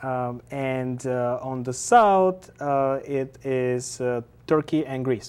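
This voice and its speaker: Speaking very slowly with a Bulgarian accent, a man keeps a medium pitch and fairly even intonation. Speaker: artist and activist. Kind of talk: TV interview. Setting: TV studio. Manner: halting, many fillers.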